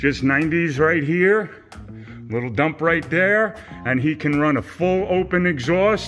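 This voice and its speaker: The speech moves at a very slow pace with ordinary pitch variation, and faint music plays in the background. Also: man. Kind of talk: casual walkthrough commentary. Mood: enthusiastic. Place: garage. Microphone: phone near.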